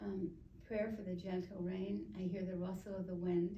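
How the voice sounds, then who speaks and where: A quiet woman speaks at a fairly slow pace, her dark, mellow tone somewhat breathy. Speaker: poet reading her own work at a writing graduation. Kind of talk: poetry reading of her own work. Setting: live reading into a microphone in front of an audience.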